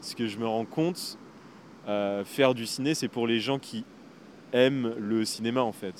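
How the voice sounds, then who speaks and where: Speaking at a fairly slow pace with long, frequent pauses, a man keeps a medium pitch and ordinary pitch variation. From France, La Rochelle. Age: 20s. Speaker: film student and skateboarder. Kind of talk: casual interview. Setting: on location. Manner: hesitant, many fillers.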